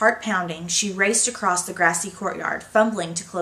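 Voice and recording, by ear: The intonation here is fairly even. It is reading aloud in a natural voice.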